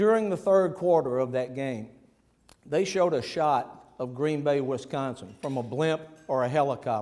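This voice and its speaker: A man with a Memphis accent talks at a moderate pace in a dark, mellow tone, his pitch fairly high with ordinary variation. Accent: Southern US (Memphis). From US South, Memphis, Tennessee. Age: 60s. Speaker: sports executive and luncheon speaker. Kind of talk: luncheon speech.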